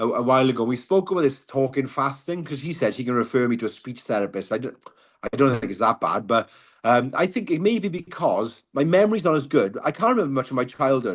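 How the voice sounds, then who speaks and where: Delivered at a very fast pace, the speech has lively intonation and a Welsh accent. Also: man. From Wales. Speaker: car crash survivor, mental health advocate. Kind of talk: podcast interview.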